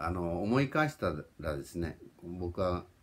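Very slow, very deep, low-pitched man's voice with ordinary pitch variation and light background noise. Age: 40s. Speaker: YouTuber. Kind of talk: personal vlog monologue. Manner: polite, repetitive with fillers. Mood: warm, reflective, smiling. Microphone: phone near.

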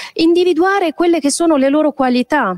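A woman speaks against a quiet background. The sound is dry with no echo. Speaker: teacher presenting a school project. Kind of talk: presentation talk. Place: hall. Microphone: handheld.

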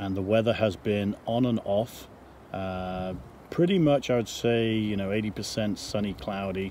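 A man at a moderate pace, dry sound with no echo, and loud background noise. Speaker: RV owner vlogger. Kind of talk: casual vlog chat. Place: open country. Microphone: phone near.

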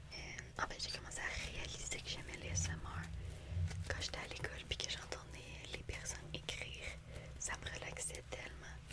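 A soft-spoken woman whispers with long, frequent pauses. Loud background noise fills the recording. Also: moderate pace. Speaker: ASMR content creator. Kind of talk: casual chat, interview answer. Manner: soft whisper close to the mic. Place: home room. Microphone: studio mic.

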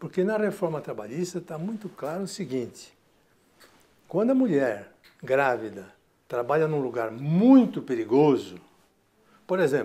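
Man with a fairly high pitch and very wide pitch swings, at a moderate pace. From Brazil. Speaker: economics professor. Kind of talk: TV interview. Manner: explanatory. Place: office. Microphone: lapel.

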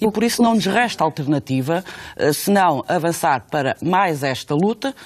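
A woman with a very deep, low pitch swings very widely in pitch against a quiet background. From Portugal. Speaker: union leader. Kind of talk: radio interview. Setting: studio. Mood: serious, firm argumentation. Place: studio.

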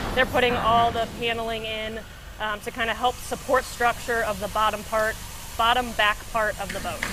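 Noticeable background noise is present. Over it, a woman talks at a moderate pace. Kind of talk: interview answer. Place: factory.

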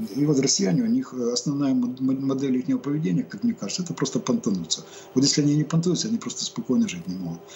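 With light background noise behind him, a man with a fairly high pitch races along at a very fast pace through very wide pitch swings. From Ukraine. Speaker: military expert, reserve army major; guest. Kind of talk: live TV interview. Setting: remote link. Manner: halting, many fillers. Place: home room. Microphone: webcam.

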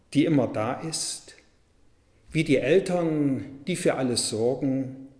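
A man with lively intonation speaks at a very slow pace against a quiet background, with audible room echo. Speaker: Lutheran pastor. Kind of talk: church devotional / sermon reading. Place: church.

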